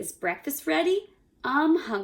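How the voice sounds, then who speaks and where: Putting on a croaky character voice, a woman speaks at a high pitch and fairly slow pace with very wide pitch swings. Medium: read story. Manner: small-voiced, friendly.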